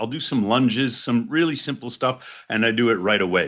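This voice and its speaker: A man talks at a fairly quick pace in a normal speaking voice with lively intonation against a quiet background. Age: 60s. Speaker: ice bath company founder and professor. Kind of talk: interview explanation. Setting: remote call.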